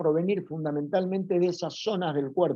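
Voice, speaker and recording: A man with a Rioplatense accent speaks at a moderate pace in a high pitch with a dark, mellow tone. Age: 60s. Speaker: psychoanalyst and teacher. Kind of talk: lecture. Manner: informal, conversational with fillers.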